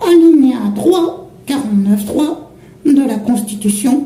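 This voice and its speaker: In a put-on character voice, a man speaks at an extremely high pitch with slight echo. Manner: cheeky, slangy.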